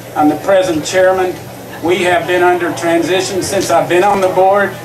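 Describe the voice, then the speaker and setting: A high-pitched man with a Kentucky accent speaks at a moderate pace. Audible room echo and noticeable background noise surround him. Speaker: school board candidate, retired school principal. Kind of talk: campaign speech. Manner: halting with fillers.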